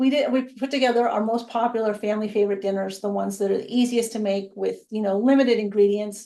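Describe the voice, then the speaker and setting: Very fast speech comes from a woman with a fairly high pitch and fairly even intonation. Her tone is dark and mellow. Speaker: food blogger. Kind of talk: casual interview.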